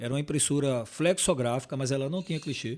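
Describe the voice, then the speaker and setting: A fairly quick pace with ordinary pitch variation, on a very clean recording with a silent background. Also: man. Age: 60s. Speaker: packaging sales manager. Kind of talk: podcast interview. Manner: halting.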